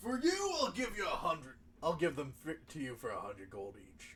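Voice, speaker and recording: With clear background noise behind him, a man uses a put-on character voice, speaking fairly quickly at a high pitch. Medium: actual play. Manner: eager, effusive, slightly flustered.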